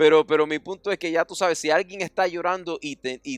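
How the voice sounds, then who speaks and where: Here a man talks with a high pitch and ordinary pitch variation. The sound is dry and close, with no echo. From United States. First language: English (speaking Spanish). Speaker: pastor. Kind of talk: sermon.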